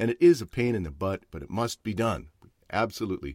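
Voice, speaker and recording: Here a man talks at a fairly quick pace with vocal fry, lively intonation and an animated tone. The recording is very clean, with a silent background and a dry, close sound with no echo. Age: 60s. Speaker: podcast host, actor and voiceover. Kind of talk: casual chat. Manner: animated, jokey.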